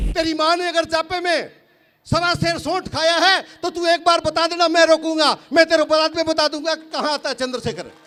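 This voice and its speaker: A man's raised, projected voice, extremely high in pitch, bright and sharp in tone, with monotone, flat intonation. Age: 60s. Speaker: farmer leader and activist. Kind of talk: political rally speech. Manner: loud, fiery oratory.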